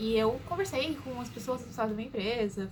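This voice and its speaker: A woman talks at a fairly quick pace with a fairly high pitch and ordinary pitch variation. Noticeable background noise runs underneath. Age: 20s. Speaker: vlogger. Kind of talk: casual chat. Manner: animated.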